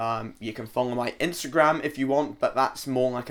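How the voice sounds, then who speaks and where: At a medium pitch, a man with a Scottish accent speaks with fairly even intonation in a very clean recording with a silent background. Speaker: trainee pro wrestler. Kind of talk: casual interview.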